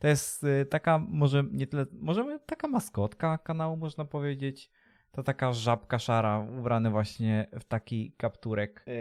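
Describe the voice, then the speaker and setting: A man at medium pitch with lively intonation and a moderate pace, in a dry, close sound with no echo. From Poland, Leszno, Greater Poland. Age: 20s. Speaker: streamer and vlogger. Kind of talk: casual vlog to camera. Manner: halting, many fillers.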